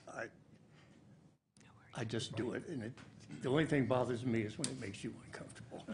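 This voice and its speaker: A man speaks very fast at a medium pitch, with vocal fry and ordinary pitch variation. Long, frequent pauses break up his speech, and room echo is audible. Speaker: public commenter at city council. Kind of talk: public comment speech. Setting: city council meeting. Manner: halting.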